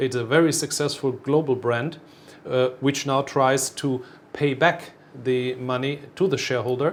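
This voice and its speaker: A man with a German accent speaks at medium pitch and a moderate pace, his intonation fairly even. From Germany. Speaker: airline executive. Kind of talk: interview. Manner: halting.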